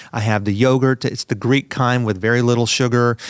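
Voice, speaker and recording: A man with a normal speaking voice, medium pitch and fairly even intonation is captured in a dry, close sound with no echo on a very clean recording with a silent background. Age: 40s. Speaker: podcast host. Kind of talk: casual interview.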